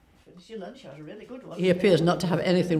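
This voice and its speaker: A woman speaks with a South Yorkshire accent. Audible room echo surrounds her voice. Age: 80s+. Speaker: carer for her husband. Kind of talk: testimony.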